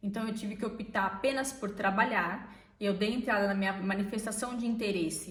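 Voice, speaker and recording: A woman speaks at a fairly high pitch and a moderate pace, with ordinary pitch variation. Audible room echo and noticeable background noise are present. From Brazil. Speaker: vlogger. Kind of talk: casual chat.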